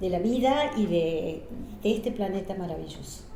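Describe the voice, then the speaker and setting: Lively intonation marks a woman speaking at a fairly slow pace, with audible room echo and noticeable background noise. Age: 70s. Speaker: biodiversity specialist. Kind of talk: casual chat.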